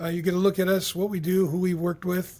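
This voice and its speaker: This man talks in a high pitch. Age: 70s. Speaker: leadership consultant. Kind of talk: podcast interview. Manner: casual.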